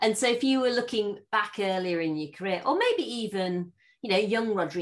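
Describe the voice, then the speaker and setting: With lively intonation, a woman talks at a moderate pace in an ordinary speaking voice. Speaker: podcast host. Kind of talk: interview conversation.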